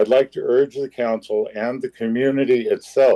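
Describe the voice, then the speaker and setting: At a moderate pace, a man talks with a dry, close sound that has no echo. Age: 60s. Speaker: veteran and public commenter. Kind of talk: public comment at council meeting. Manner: formal.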